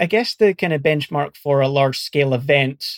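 A man speaks in a Scottish accent. His pitch is fairly high. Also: dry, close sound with no echo. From Scotland. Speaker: search and rescue volunteer and academic. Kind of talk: interview.

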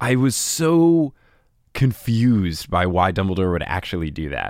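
The background is silent in this very clean recording. In it, a man is talking. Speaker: podcast host guest. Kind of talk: casual chat. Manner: fast.

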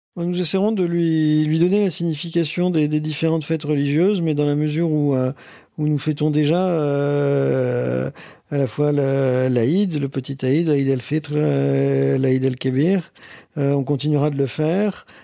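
This man's pitch is fairly high. He talks at a fairly slow pace with fairly even intonation. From northern France, Boulogne-sur-Mer (Pas-de-Calais). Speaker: interviewee sharing his love story. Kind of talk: personal testimony. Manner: hesitant, repeats words.

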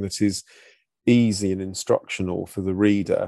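With a British accent, a man speaks fairly slowly in a dark, mellow tone with ordinary pitch variation, the sound dry and close with no echo over a quiet background. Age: 40s. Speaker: GP and podcast host. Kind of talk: scripted narration; casual chat.

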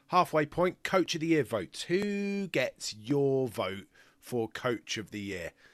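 A man with a British accent speaks very slowly at a fairly high pitch with very wide pitch swings, in a dry, close sound with no echo on a very clean recording with a silent background. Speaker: podcast host, journalist. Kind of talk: casual sports chat.

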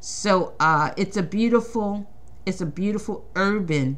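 Room echo is audible as a woman speaks at a very slow pace. Her tone is bright and sharp. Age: 50s. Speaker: podcast host and playwright. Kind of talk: casual monologue. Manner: halting, with frequent restarts.

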